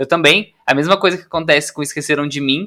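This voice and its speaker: In a very clean recording with a silent background, a man speaks with a fairly high pitch and a bright, sharp tone. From Brazil, interior of Paraná. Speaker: podcast co-host, film content creator. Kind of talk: casual chat.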